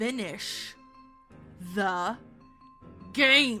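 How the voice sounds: A female-sounding voice does a put-on character voice, gravelly and fairly high in pitch. Faint music plays in the background.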